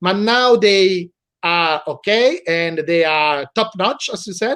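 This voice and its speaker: A man with an Italian accent speaks in a high pitch with a bright, sharp tone and ordinary pitch variation. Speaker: law professor. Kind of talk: interview. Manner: halting.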